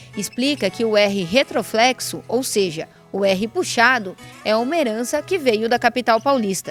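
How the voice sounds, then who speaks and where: With lively intonation, the speaker keeps a moderate pace as music sounds in the background. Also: woman, fairly high pitch for a woman. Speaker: TV news reporter. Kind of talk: TV news report narration.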